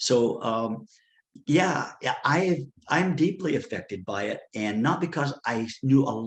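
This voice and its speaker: Somewhat breathy, a man talks at a fairly high pitch with lively intonation. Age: 60s. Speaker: retreat founder and advocate. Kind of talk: interview testimony. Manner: halting.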